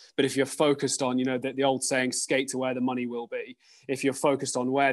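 Over a quiet background, a man with a British accent and medium pitch talks at a very fast pace. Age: 30s. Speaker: sustainability executive at an investment firm. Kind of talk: interview. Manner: halting, with frequent repetitions and fillers.

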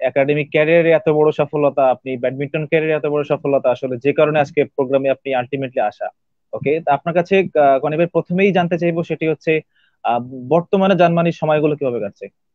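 Against a quiet background, a man with a fairly high pitch speaks with fairly even intonation in a dry sound with no echo. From Bangladesh. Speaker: university radio host. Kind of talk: live radio interview. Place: home room. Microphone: video call.

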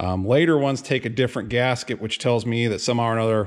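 This man speaks at a fairly quick pace. His pitch shows ordinary variation. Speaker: tractor mechanic. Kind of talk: tutorial. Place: workshop. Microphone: phone near.

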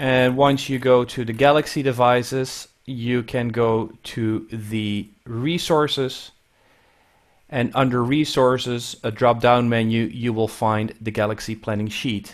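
Fairly even intonation at a fairly slow pace over a quiet background. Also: man. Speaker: audio education specialist and webinar co-host; webinar co-host. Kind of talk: webinar hosting and instructions. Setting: video call. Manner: hesitant with many fillers. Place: office. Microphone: headset.

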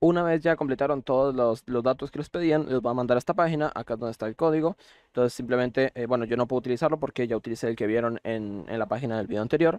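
Against a quiet background, a man speaks very fast with hardly any pauses, at a medium pitch with ordinary variation, in a dry, close sound with no echo. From Costa Rica. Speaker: gaming YouTuber. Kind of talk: tutorial. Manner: hesitant, many fillers.

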